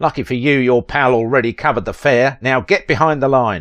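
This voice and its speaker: In a gruff, put-on character voice, a man of medium pitch talks fairly quickly against a quiet background. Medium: read story. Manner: gruff, brusque.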